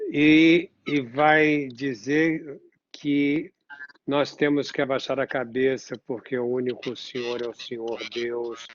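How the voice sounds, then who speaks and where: A man speaks at a very slow pace. His pitch is medium and his intonation fairly even. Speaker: psychoanalyst. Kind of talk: interview.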